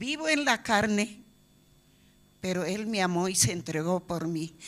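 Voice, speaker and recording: A woman at a very slow pace with ordinary pitch variation, on a very clean recording with a silent background. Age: 70s. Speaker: church member. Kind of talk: testimony. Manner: halting.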